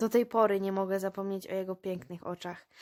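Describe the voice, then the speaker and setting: On a very clean recording with a silent background, a woman talks at a fairly quick pace. Her medium-pitched voice is monotone and flat. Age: 20s. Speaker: high school graduate. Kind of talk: interview.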